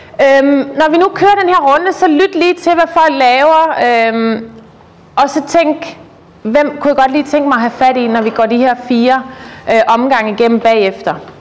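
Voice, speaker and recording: Over noticeable background noise, a woman speaks at a fairly slow pace. Her high voice has lively intonation. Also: very even loudness. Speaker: network group facilitator. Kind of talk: meeting facilitation speech. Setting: room with chatting crowd. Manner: halting, many fillers.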